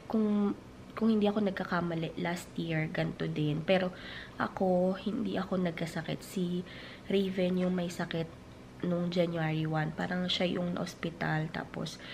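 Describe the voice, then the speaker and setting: Somewhat breathy, a woman's fairly low voice keeps to fairly even intonation. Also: moderate pace. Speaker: family vlogger. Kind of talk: casual vlog talk. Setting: at home.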